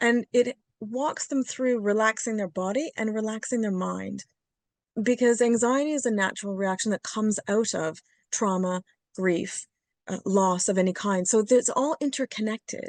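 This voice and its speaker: In a dry, close recording with no echo and a quiet background, a woman speaks at a moderate pace with a fairly high pitch and ordinary pitch variation. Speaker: psychotherapist. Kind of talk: interview. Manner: hesitant.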